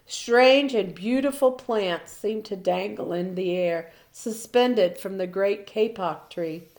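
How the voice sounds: Heard here is a natural reading voice.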